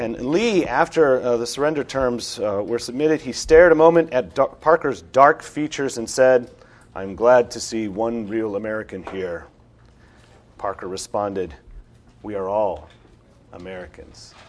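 A man speaks in an ordinary speaking voice at a medium pitch and moderate pace, with lively intonation, big swings in loudness, and a quiet background. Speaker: seminar organizer. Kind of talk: introduction. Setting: stage with audience.

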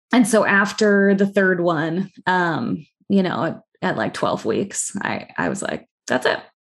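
Speaking at a fairly slow pace, a woman with a medium pitch and vocal fry is heard over a quiet background. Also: ordinary pitch variation. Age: 40s. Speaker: children's book author and adoptee. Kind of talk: interview podcast. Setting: video call.

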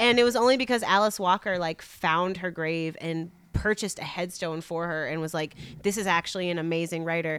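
Fairly quick, fairly low-pitched speech from a woman with hardly any pauses and ordinary pitch variation, in an unremarkable speaking voice. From Chicago. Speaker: poet and author. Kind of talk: live interview before an audience. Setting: bookstore event with live audience.

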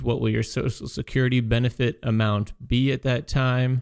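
On a very clean recording with a silent background, a man with an unremarkable speaking voice talks at medium pitch and a fairly quick pace, his intonation fairly even. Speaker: financial advisor radio host. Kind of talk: radio show discussion.

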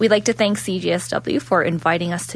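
Fairly slow and somewhat breathy, a woman speaks at a fairly low pitch with lively intonation. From Ontario, Canada. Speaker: law student radio co-host. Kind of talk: live radio chat. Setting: radio studio.

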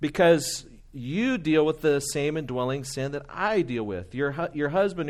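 A man's fairly high-pitched, fairly slow delivery in a normal speaking voice against a quiet background. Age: 40s. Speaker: pastor. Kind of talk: sermon.

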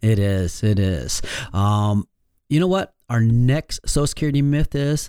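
A man with a Michigan accent talks at medium pitch with lively intonation. His tone is dark and mellow, and the sound is dry and close with no echo. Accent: Michigan, general American. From Michigan, US. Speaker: financial advisor and radio host. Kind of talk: radio show presentation. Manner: friendly, conversational.

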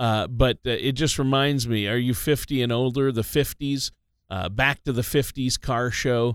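An unremarkable speaking voice with an American accent moves at a moderate pace on a very clean recording with a silent background. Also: man. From Minnesota. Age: 50s. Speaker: radio co-host. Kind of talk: casual radio talk show.

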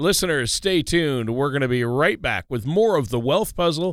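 A man speaks at a moderate pace with a fairly high pitch and very wide pitch swings. The recording is very clean, with a silent background. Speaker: radio co-host and announcer. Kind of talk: scripted announcement; casual chat. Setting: studio. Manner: radio announcer style.

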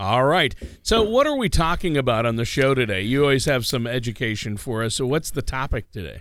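Using a normal speaking voice, a man talks at a fairly quick pace and medium pitch, with lively intonation and hardly any pauses. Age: under 60. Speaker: radio co-host and announcer. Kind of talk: casual chat. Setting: studio.

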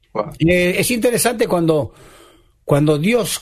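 This is a man talking. His pitch swings very widely. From Argentina. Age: 70s. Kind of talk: radio interview.

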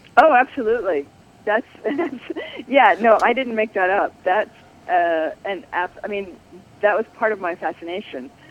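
Noticeable background noise is present. The voice carries an American accent. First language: Spanish. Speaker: author. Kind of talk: book discussion. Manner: halting.

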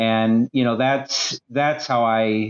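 This man speaks at a medium pitch with fairly even intonation, recorded with a dry, close sound and no echo. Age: 30s. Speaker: former pastor. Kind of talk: casual discussion. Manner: halting, many fillers.

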